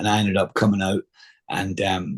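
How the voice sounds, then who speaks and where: A somewhat breathy man speaks at a moderate pace with a Scottish accent. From Scotland. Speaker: actor. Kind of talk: interview storytelling. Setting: podcast interview. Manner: halting, many fillers.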